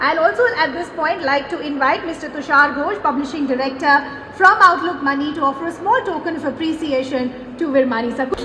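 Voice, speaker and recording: A woman projects her voice at a high pitch and a fairly quick pace, with ordinary pitch variation. Background noise is noticeable and room echo is audible. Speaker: event anchor. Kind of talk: event hosting. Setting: stage with audience. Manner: formal.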